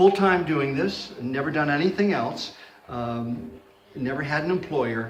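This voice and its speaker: A man at a fairly slow pace with lively intonation, over noticeable background noise and audible room echo. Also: fairly high pitch for a man. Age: 60s. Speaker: comedian. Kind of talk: interview.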